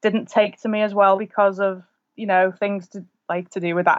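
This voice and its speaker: A woman with a Lancashire accent talks at medium pitch. Her intonation is fairly even against a quiet background. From northern England, rural Lancashire between Preston and Liverpool. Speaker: author. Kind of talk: casual chat.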